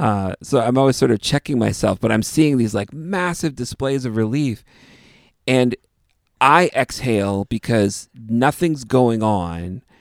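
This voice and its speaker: A man with a Canadian accent and an ordinary speaking voice talks at a medium pitch and a fairly slow pace, with lively intonation. The recording is very clean with a silent background, and the sound is dry and close with no echo. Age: 30s. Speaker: podcast host and musician. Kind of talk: casual interview conversation.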